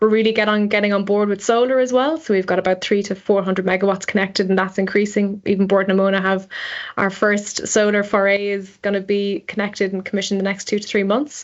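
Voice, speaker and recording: Speaking at a very fast pace, a woman with an Irish accent keeps a monotone, flat intonation. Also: medium pitch for a woman. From Ireland. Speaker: energy engineer. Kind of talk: podcast interview.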